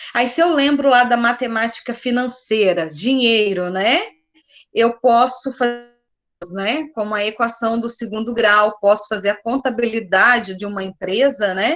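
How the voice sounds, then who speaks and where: Her pitch is fairly high, with ordinary variation. The woman speaks fairly slowly in an unremarkable speaking voice. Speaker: math teacher. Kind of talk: online class lecture.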